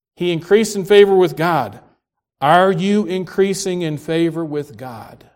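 Ordinary pitch variation with big swings in loudness. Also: man, high pitch for a man. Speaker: preacher. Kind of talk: sermon. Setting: church. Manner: not a fast talker, fairly slow; reading from written notes, some hesitations.

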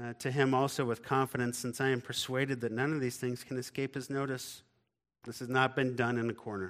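The reading voice sounds natural. Behind it, the background stays quiet.

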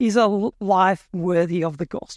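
A woman with an Australian accent, in a dry, close sound with no echo. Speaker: preacher. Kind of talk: sermon. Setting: church.

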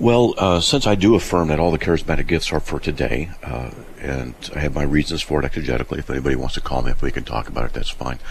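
With noticeable background noise around him, a man talks at a very fast pace in a very deep, low pitch, his intonation lively. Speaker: radio host. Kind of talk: call-in radio show. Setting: studio.

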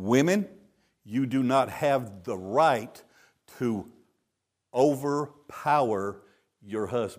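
A man with a Texan accent at medium pitch, very slow, with long, frequent pauses, on a very clean recording against a silent background. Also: lively intonation. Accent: Texan Southern US. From Texas. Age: 70s. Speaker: traveling preacher. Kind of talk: sermon. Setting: church with congregation. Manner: joking, playful.

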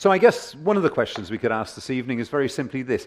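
A man with a British accent speaks at a medium pitch. His pitch swings very widely. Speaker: preacher. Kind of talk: sermon. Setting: church. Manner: hesitant, fillers.

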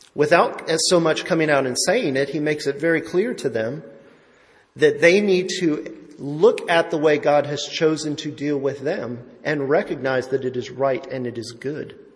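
In a room with audible echo, a man with a fairly high, somewhat breathy voice talks at a moderate pace with ordinary pitch variation. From Italian-American family. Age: 40s. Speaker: lay preacher. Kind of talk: sermon.

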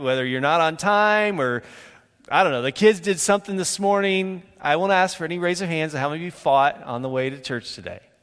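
A man with an ordinary speaking voice, fairly high in pitch, lively in intonation, at a moderate pace. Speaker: preacher. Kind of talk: sermon. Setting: church; stage with audience.

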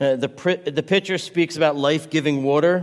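A man's ordinary speaking voice, fairly high in pitch, with fairly even intonation. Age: 50s. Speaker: pastor. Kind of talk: sermon.

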